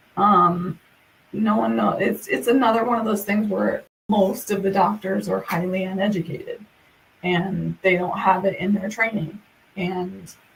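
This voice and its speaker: A woman talks at a fairly slow pace and medium pitch. Noticeable background noise runs underneath. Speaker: content creator. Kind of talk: live stream chat. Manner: halting.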